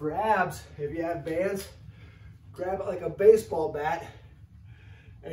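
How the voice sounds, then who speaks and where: A man speaks very slowly at a high pitch, with ordinary pitch variation. Audible room echo and light background noise surround him. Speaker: fitness coach. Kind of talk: tutorial. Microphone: camera far.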